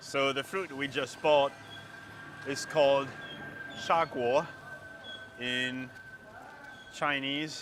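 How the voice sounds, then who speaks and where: Against noticeable background noise, a man with a German accent speaks at a very slow pace, his fairly high voice keeping fairly even intonation. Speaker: travel vlogger. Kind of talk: casual walking vlog. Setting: outdoors at a street market.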